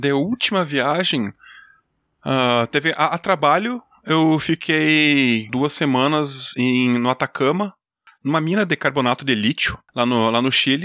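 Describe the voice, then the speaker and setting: A man talks at a fairly slow pace in a bright, sharp tone with a fairly high pitch, ordinary pitch variation and very even loudness. The recording is very clean with a silent background and a dry, close sound with no echo. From Brazil, Rio Grande do Sul (Júlio de Castilhos). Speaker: engineer and podcaster. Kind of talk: casual interview chat.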